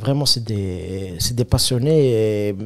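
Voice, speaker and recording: A man's voice, dark and mellow in tone, with ordinary pitch variation. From Algeria, Kabylie. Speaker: comedian. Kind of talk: casual chat.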